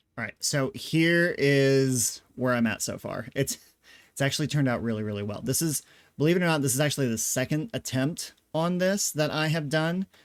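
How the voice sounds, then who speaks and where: The recording is very clean, with a silent background. A man speaks at a moderate pace, his pitch fairly high and its variation ordinary. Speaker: craft channel host. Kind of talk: casual monthly craft update video. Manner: hesitant, many fillers.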